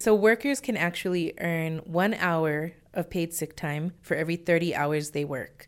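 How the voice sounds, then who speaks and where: With hardly any pauses, a woman talks at a fairly slow pace in an ordinary speaking voice, her pitch fairly low with ordinary variation, in a very clean recording with a silent background. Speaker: executive director of community organizing nonprofit. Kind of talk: radio interview.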